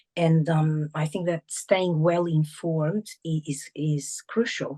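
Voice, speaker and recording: A woman speaks very slowly in a very deep, low voice with a dark, mellow tone, a somewhat breathy quality and a Portuguese accent. Her intonation is fairly even, and the sound is dry and close, with no echo. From Portuguese-speaking country, moved abroad at 14. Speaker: teacher, author and entrepreneur. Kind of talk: interview. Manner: halting, many fillers.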